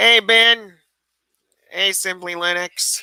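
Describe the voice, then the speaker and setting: Bright and sharp in tone, a man's raised, projected voice sits high in pitch, recorded dry and close with no echo. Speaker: YouTube tech livestreamer. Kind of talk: casual livestream chat reading comments. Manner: halting, with fillers.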